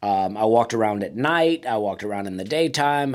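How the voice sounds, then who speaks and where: Here a man with a medium pitch speaks at a moderate pace. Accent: Southern US. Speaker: stand-up comedian. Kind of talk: casual talk to camera, comedic monologue. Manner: laid-back, humorous, conversational.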